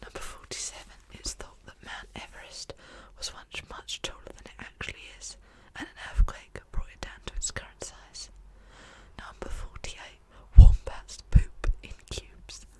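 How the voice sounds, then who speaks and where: Someone whispers at a moderate pace. Noticeable background noise sits behind the voice. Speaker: ASMR creator. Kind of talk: whispered ASMR fact reading. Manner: whispered.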